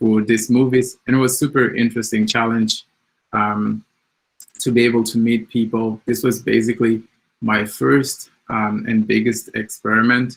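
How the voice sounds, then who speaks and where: In a Portuguese accent, a man speaks at a moderate pace with a monotone, flat intonation and very even loudness. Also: medium pitch for a man. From Mozambique. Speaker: software developer, community founder. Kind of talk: conference talk. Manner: hesitant, many fillers.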